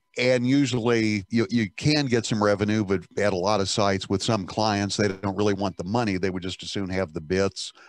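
Fairly quick and with hardly any pauses, a man speaks in a fairly low pitch with fairly even intonation and a dry sound with no echo. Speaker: broadcast engineer. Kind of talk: group discussion. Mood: relaxed, anecdotal. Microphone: video call.

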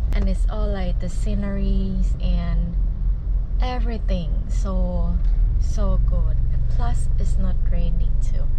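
The speech moves at a very slow pace against loud background noise. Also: woman. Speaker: travel vlogger. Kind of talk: casual vlog chat. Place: car. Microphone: phone near.

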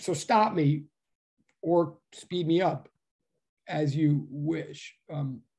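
A man at a very slow pace with long, frequent pauses, over a quiet background. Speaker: physics professor. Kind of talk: lecture. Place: home room. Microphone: webcam.

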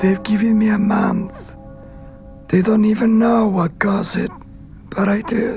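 A man speaks with a high pitch at a fairly slow pace. Clear background noise can be heard. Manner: grim, commanding.

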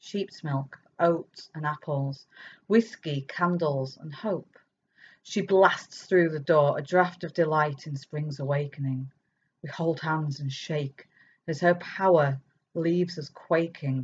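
Slowly and somewhat breathily, a woman speaks at a very deep, low pitch with fairly even intonation and big swings in loudness, over light background noise. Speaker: poet and author. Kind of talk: poem performed, reading own verse aloud; talk with poetry readings at online festival. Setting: online festival recording. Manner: lyrical, measured, expressive cadence. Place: home room. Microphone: webcam.

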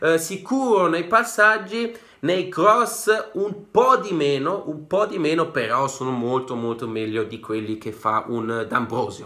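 Against a quiet background, a man with a fairly high, bright, sharp voice speaks at a fairly slow pace in an animated tone with very wide pitch swings. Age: 20s. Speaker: football YouTuber. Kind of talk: casual vlog monologue. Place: home room. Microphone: phone near.

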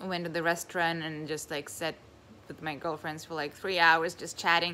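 Over light background noise, a woman speaks at a fairly quick pace with a fairly low pitch and a bright, sharp tone. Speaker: vlogger. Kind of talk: casual vlog chat. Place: home room. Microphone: phone near.

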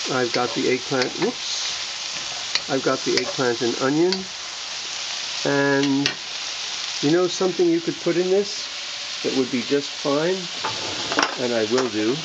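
Long, frequent pauses over loud background noise. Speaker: health teacher. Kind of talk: cooking tutorial. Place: kitchen. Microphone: phone near.

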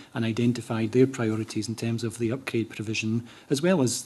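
A man talks at a fairly quick pace. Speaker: council housing official giving evidence. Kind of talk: interview answer. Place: meeting room. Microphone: podium.

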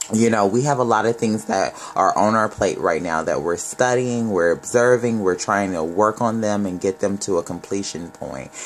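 A man's fairly low voice at a moderate pace, ordinary pitch variation and hardly any pauses, with light background noise. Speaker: tarot reader. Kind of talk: tarot reading commentary. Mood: warm, upbeat. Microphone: phone near.

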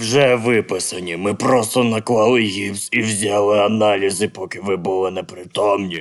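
A man puts on a raspy character voice at a fairly low pitch with fairly even intonation. He keeps a moderate pace with hardly any pauses. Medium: fan dub.

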